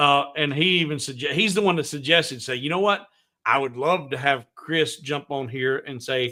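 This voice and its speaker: An American-accented man talks at a moderate pace. His pitch is fairly high and varies an ordinary amount. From US South. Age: 50s. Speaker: woodworking livestream host. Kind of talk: casual chat. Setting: livestream.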